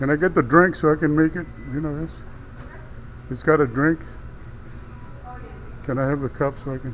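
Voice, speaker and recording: A man talks at a fairly quick pace in a fairly high voice with fairly even intonation. He takes long, frequent pauses. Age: 60s. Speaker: food delivery rider. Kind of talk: casual talk to camera.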